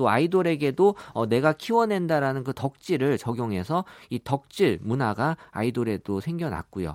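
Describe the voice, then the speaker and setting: With a dry, close sound and no echo, a man at medium pitch talks at a moderate pace with very wide pitch swings and hardly any pauses. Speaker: big data analyst, company executive. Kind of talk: radio interview.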